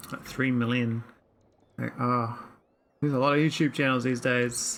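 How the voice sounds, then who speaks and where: A moderate pace in a New Zealand accent. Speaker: gaming streamer. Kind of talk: casual livestream gameplay commentary. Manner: slurred words.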